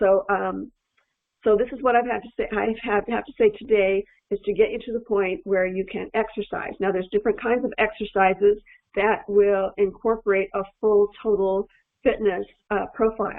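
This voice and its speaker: The speaker has an ordinary speaking voice. Delivery is at a moderate pace with fairly even intonation. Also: woman, medium pitch for a woman. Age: 60s. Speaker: nutritional physiologist. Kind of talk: educational talk to camera. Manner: casual, many fillers and restarts.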